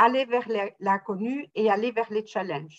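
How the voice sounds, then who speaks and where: The speech goes at a very slow pace with ordinary pitch variation. The sound is dry and close, with no echo. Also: woman. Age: 60s. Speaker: salesperson retraining as closer. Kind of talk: interview testimony.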